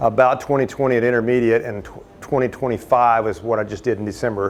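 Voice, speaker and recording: Noticeable background noise sits behind a man talking at a fairly quick pace. His pitch is medium and his intonation fairly even. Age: 60s. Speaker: air show pilot. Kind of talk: presentation with audience questions. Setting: meeting room with audience. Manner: halting, many fillers.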